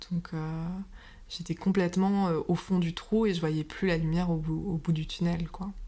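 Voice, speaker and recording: A woman's voice is somewhat breathy, with a dark, mellow tone. Her intonation is monotone and flat, at a moderate pace. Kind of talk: interview answer.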